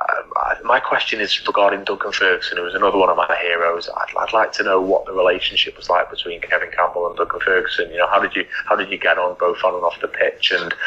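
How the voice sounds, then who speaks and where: Against noticeable background noise, a man talks at a very fast pace with hardly any pauses. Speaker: podcast listener sending a recorded question. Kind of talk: recorded voice message question. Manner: quiet.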